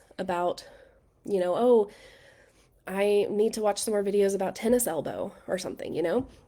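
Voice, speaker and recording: In an American accent, a woman with a dark, mellow tone speaks at medium pitch and a moderate pace, her intonation fairly even, on a very clean recording with a silent background. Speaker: massage therapy mentor. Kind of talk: live training. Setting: livestream. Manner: casual, many fillers.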